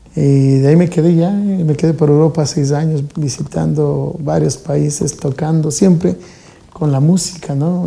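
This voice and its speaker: Noticeable background noise runs behind a man with a fairly high pitch. His intonation stays fairly even. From Ecuador, Quito. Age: 40s. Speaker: folk musician. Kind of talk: interview. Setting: studio.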